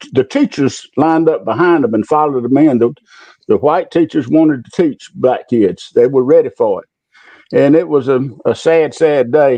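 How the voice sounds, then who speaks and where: Speaking at a moderate pace with an Alabama accent, a man keeps his loudness very even and his pitch variation ordinary. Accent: Southern US (Alabama). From US South, Macon County, Alabama. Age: 70s. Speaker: retired public official. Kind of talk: interview, personal recollection. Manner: halting.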